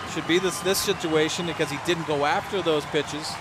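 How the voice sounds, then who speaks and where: A man over crowd noise in the background, dry sound with no echo. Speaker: radio game analyst. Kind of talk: baseball radio analysis. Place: stadium.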